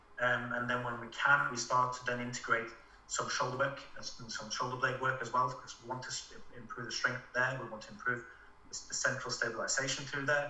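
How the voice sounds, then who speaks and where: Against noticeable background noise, a medium-pitched man talks at a fairly quick pace in a flat monotone with big swings in loudness. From Norway. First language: Norwegian. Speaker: physiotherapist. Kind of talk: casual interview. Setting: video call. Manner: hesitant, many fillers.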